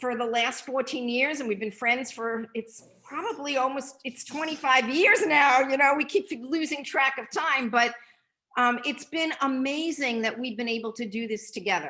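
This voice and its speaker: A woman speaks in a raised, projected voice. Her tone is bright and sharp, and her pitch is high. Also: ordinary pitch variation, moderate pace. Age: 60s. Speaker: nutrition product distributor. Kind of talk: testimony.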